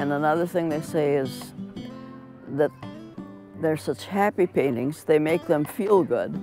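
Over clear music in the background, a woman with an Upper Midwest accent speaks at a fairly slow pace, her very deep, low voice carrying lively intonation. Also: dry sound with no echo. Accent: Upper Midwest American. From Minnesota, USA. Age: 80s+. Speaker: painter. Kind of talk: interview answer. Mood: warm, cheerful. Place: home room.

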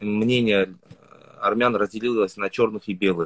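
A man speaks with fairly even intonation. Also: quiet background. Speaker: Instagram blogger. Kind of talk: livestream interview. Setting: video call. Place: home room. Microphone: video call.

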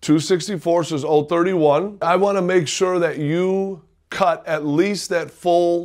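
Against a quiet background, a man with a high pitch speaks with fairly even intonation. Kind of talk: tutorial. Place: office.

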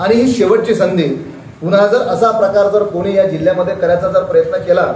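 With light background noise and audible room echo, a man speaks at a high pitch with fairly even intonation. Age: 40s. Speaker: local politician. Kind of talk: press conference statement. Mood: firm, warning tone. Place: home room.

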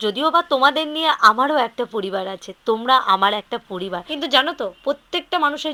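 Bright and sharp in tone, a woman's high voice carries lively intonation. The sound is dry and close with no echo. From West Bengal, South Dinajpur. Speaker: vlogger. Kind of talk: casual vlog narration. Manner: chatty.

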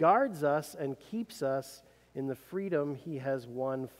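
The background stays quiet. Against it, a man talks very slowly. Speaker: preacher. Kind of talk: sermon. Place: church. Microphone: podium.

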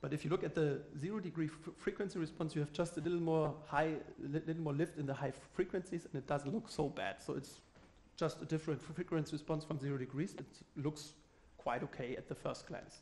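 With fairly even intonation, a man keeps up a fairly quick pace. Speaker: conference presenter. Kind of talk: lecture. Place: stage.

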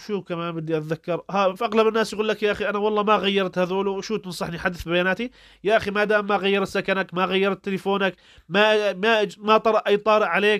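A high-pitched man talks at a fairly quick pace. His intonation is fairly even, and the sound is dry and close with no echo. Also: very clean recording, silent background. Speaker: YouTuber giving advice to refugees. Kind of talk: tutorial. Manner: casual, conversational.

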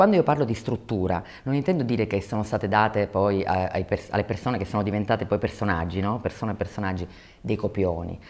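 Very deep and low in pitch, a woman talks at a very fast pace with ordinary pitch variation. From Sicily, Catania; Sicily. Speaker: documentary filmmaker. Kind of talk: interview; interview answer. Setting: film festival. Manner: hesitant, many fillers. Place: hall. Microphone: lapel.

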